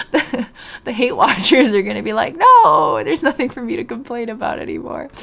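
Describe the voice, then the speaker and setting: A woman speaks somewhat briskly, clear background noise audible throughout. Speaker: video game streamer. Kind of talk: casual live stream chat. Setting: live stream.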